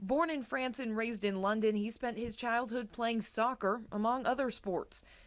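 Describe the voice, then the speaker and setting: In a normal speaking voice, a woman talks at a fairly quick pace with fairly high pitch and ordinary pitch variation. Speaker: sports anchor and reporter. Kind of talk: TV feature package voiceover narration.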